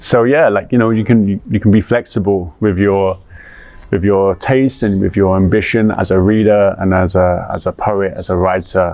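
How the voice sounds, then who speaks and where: A man with a London accent, fairly low pitch, fairly even intonation and a fairly slow pace, over noticeable background noise. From London, England. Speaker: poet. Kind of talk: interview answer. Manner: warm.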